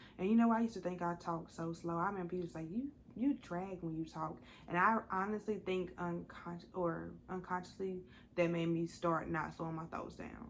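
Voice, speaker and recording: Speaking at a fairly quick pace, a woman uses a plain, everyday voice that is fairly low in pitch with ordinary pitch variation. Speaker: podcast co-host. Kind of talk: casual chat.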